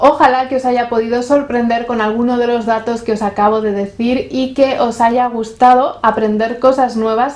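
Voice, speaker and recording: A woman speaks at a high pitch and a fairly slow pace. Noticeable background noise runs underneath. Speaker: YouTuber. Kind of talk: scripted narration.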